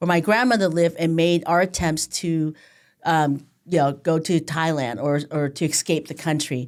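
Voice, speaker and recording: At a moderate pace, a woman speaks in a fairly low voice, captured in a very clean recording with a silent background. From Southern California, came from Vietnam at age five. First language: Vietnamese. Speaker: county supervisor, politician. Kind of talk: interview conversation.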